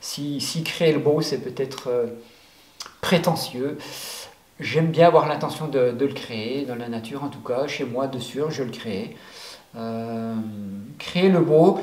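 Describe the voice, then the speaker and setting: A man talks at a fairly slow pace with long, frequent pauses and big swings in loudness, amid noticeable background noise and audible room echo. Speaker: life coach. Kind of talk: motivational talk. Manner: hesitant, many fillers.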